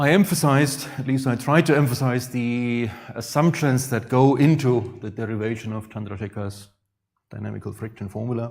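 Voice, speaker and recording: A somewhat breathy man with a Franconian accent talks at a moderate pace, his loudness swinging widely, in audible room echo. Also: medium pitch for a man, ordinary pitch variation. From Franconia, Germany. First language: German. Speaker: astrophysics professor. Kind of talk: lecture.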